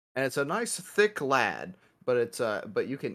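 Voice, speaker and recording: A man with an American accent talks in a bright, sharp tone at a fairly high pitch, his pitch swinging very widely. The recording is very clean, with a silent background. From US Midwest. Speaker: podcast co-host. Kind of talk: casual chat.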